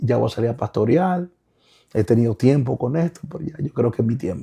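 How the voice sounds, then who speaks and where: A man's dark, mellow tone with vocal fry, in a dry, close sound with no echo. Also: medium pitch for a man, lively intonation. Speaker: pastor and author. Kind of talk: interview. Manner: halting, repeats words.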